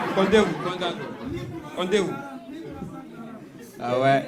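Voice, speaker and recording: A man speaks at a very slow pace, with long, frequent pauses and very wide pitch swings. Crowd noise sits in the background. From Guinea. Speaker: stand-up comedian. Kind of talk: live stand-up comedy.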